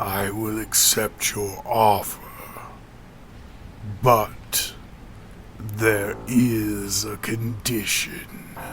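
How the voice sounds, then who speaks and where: A man growls in a put-on character voice, fairly low in pitch, at a very slow pace with long, frequent pauses. Clear background noise runs underneath. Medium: read story. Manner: menacing, mocking.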